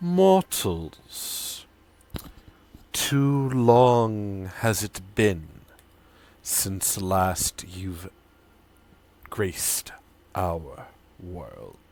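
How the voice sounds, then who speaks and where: A man speaks at a very slow pace in a put-on character voice, pitched fairly low, with long, frequent pauses. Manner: ancient, grand, formal.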